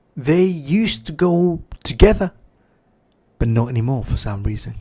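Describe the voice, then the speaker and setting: The speaker is a man whose voice is somewhat breathy. His pitch swings very widely. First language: Spanish. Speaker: livestream host. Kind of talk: livestream commentary.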